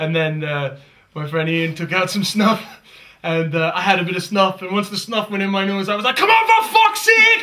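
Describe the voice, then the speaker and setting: A man with an American accent and a high pitch speaks at a fairly quick pace in a raised, projected voice over noticeable background noise. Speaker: comedian. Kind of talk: interview.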